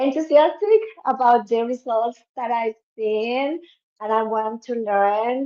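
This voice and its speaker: This woman has a Spanish accent and a dark, mellow tone at a high pitch. She speaks at a very slow pace with fairly even intonation. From Cuba. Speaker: dentist, business member. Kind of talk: self-introduction on livestream. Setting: video livestream.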